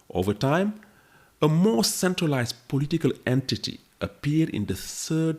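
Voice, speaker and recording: A man with a French accent speaks at a moderate pace. His pitch swings very widely, and the recording is very clean with a silent background. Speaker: history podcaster. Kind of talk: scripted narration.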